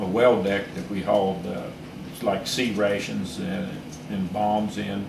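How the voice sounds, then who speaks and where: There is noticeable background noise behind this man. He has a fairly low pitch and ordinary pitch variation. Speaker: Vietnam War Navy veteran; former diesel engine mechanic. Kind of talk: interview answer. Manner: hesitant, many filler pauses.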